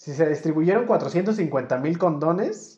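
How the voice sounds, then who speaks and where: This man's voice has a dark, mellow tone and a fairly high pitch. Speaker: podcast host. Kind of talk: casual chat.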